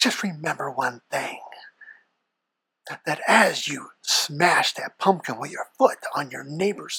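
A put-on character voice sits at a middle pitch and moves at a fairly slow pace. Long, frequent pauses break up the speech. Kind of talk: sinister horror narration. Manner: ominous, condescending.

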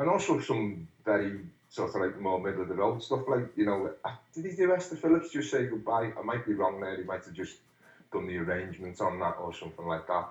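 Speaking at a fairly quick pace with a Liverpool accent, a man's somewhat breathy voice sits fairly low in pitch, with lively intonation. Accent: Scouse (Liverpool). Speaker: musician. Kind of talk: interview. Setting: phone call. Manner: halting.

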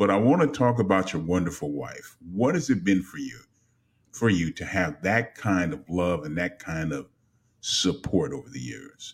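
A man with a very deep, low voice speaks at a moderate pace. His pitch swings very widely, and his loudness shifts a great deal. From Los Angeles. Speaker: radio host. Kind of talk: interview. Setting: live online broadcast. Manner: animated.

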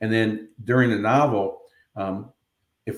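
This is a normal speaking voice from a man. His pitch is fairly low, with ordinary pitch variation. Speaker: novelist and former TV producer. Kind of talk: radio interview.

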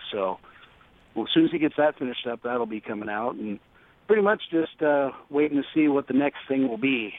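An unremarkable speaking voice with an American accent at a fairly quick pace. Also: man. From Seattle area, US Pacific Northwest. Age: 40s. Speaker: heavy metal singer. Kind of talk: interview.

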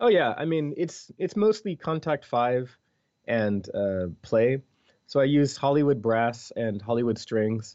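The speaker has a Philadelphia accent, moving at a fairly slow pace with lively intonation. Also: man, medium pitch for a man. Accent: American, Philadelphia. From US Northeast, Philadelphia. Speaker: video game composer. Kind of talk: interview. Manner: animated.

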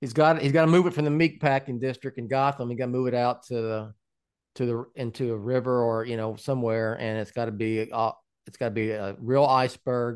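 An ordinary speaking voice from a man at medium pitch, fairly quick in pace with fairly even intonation, over a quiet background. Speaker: podcast host and website founder. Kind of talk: casual chat.

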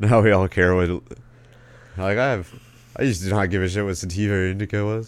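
A man with an American accent speaks at a fairly quick pace in a fairly low voice, his intonation fairly even, broken by long, frequent pauses. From Arizona. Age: 20s. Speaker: stand-up comedian and podcaster. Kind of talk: casual chat. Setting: remote call via webcam.

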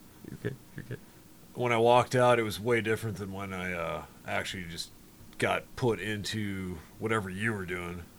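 An ordinary speaking voice with an American accent, delivered at a moderate pace. Pitch varies in an ordinary way while loudness swings widely. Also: man, fairly low pitch for a man. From Wisconsin, outside Milwaukee. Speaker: student teacher, guest co-host. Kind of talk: casual chat.

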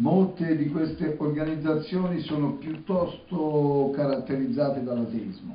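Amid noticeable background noise and audible room echo, a man talks at a fairly high pitch and fairly slow pace with ordinary pitch variation. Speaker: interpreter. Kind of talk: live interpreting.

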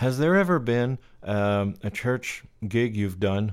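On a very clean recording with a silent background, a man speaks in a Quebec French accent with ordinary pitch variation. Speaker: podcast host, lighting technician. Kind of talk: casual interview.

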